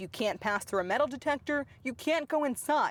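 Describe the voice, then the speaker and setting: Speaking at a moderate pace, a woman uses a high voice with very wide pitch swings. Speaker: news reporter. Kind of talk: TV news package narration.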